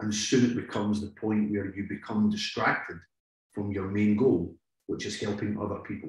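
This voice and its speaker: The speaker's voice is somewhat breathy, moving at a moderate pace with monotone, flat intonation. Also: man, fairly low pitch for a man. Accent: Scottish. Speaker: police negotiator. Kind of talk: interview.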